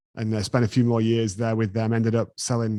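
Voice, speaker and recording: In an English accent, a man speaks at a fairly quick pace with a fairly low pitch and a dark, mellow tone. The recording is very clean, with a silent background. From England. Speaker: business owner. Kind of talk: interview.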